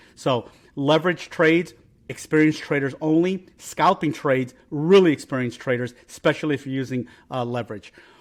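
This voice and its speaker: A man with a fairly high pitch talks at a fairly quick pace, his pitch varying in an ordinary way. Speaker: crypto trader and market analyst. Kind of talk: market analysis commentary. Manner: fast; quick, rushed delivery.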